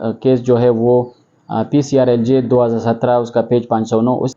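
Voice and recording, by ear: A man's medium-pitched voice with a dark, mellow tone at a moderate pace.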